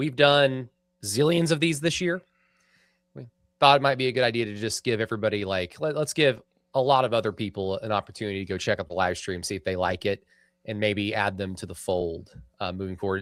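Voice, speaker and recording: A man's fairly low voice with an American accent, lively and fairly quick, on a very clean recording with a silent background. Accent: self-described hick. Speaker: sports podcast host. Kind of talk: casual chat. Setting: live stream studio.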